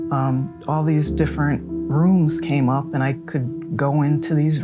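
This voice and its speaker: With music in the background, a woman speaks slowly-ish at a fairly slow pace in a very deep, low voice with an American accent. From Scranton, Pennsylvania. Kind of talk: personal storytelling interview. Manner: casual, hesitant.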